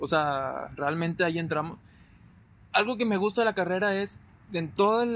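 A man with a plain, everyday voice talks at a moderate pace. His intonation is lively. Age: 20s. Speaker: agribusiness engineer. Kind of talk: casual chat.

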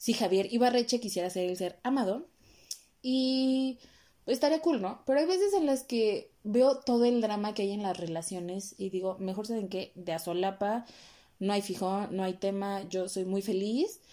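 A woman with a Mexican accent speaks at a moderate pace in a medium-pitched voice with a dark, mellow tone. Her pitch varies in an ordinary way, and the recording is very clean with a silent background. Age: 20s. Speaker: podcast host. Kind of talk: solo monologue podcast.

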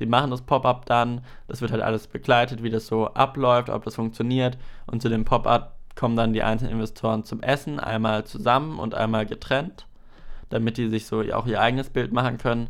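This man uses a plain, everyday voice with medium pitch. He moves fairly quickly, with fairly even intonation. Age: 20s. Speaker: podcast host and video editor. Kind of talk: solo podcast monologue, casual.

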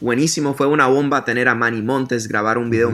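This man has a plain, everyday voice, pitched in the medium range, with fairly even intonation. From US, Miami, Florida. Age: 30s. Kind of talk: interview. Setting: remote call.

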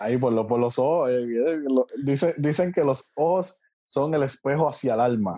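A man's fairly high voice carries a dark, mellow tone at very even loudness. The background is quiet. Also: ordinary pitch variation, moderate pace. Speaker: podcast guest. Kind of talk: casual chat. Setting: video call.

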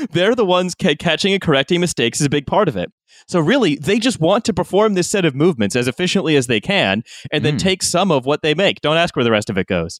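A man talks at a very fast pace with vocal fry and a fairly high pitch, his pitch swinging very widely while his loudness stays very even. The recording is very clean, with a silent background. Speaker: podcast host. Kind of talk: casual chat.

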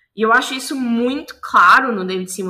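A woman's fairly high, bright, sharp voice at a fairly quick pace, with ordinary pitch variation. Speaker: journalist and podcast co-host. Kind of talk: casual chat.

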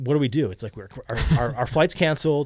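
A man's plain, everyday voice, fairly quick and fairly even in intonation, on a very clean recording with a silent background. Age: 40s. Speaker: brewery staff handling beer label approvals. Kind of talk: casual chat.

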